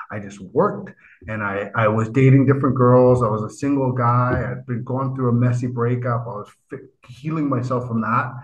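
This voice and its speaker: A man talks at a fairly quick pace with a medium pitch. His voice is somewhat breathy. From Vancouver, Canada. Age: 50s. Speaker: writer and motivational speaker. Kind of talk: interview conversation. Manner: animated.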